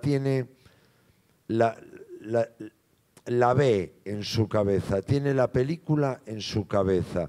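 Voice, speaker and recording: A man speaks at a very slow pace in a dark, mellow tone against a quiet background. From Galicia, Spain. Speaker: film actor. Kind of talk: Q&A at a film screening. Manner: halting, repeats words. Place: hall. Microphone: handheld.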